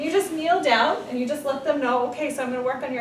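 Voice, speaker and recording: A woman talks at a very fast pace with ordinary pitch variation, noticeable background noise and audible room echo. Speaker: massage therapy instructor. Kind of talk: tutorial. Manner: casual.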